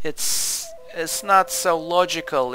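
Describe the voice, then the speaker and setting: There is music in the background. Over it, a man speaks with a Turkish accent. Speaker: gaming youtuber, historian. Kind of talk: game review commentary. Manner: halting, many fillers.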